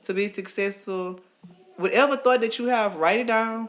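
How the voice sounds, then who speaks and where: A woman talks at a moderate pace with an American accent. She has a plain, everyday voice and ordinary pitch variation. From Texas, Port Arthur. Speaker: podcast guest, teacher and businesswoman. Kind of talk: casual chat.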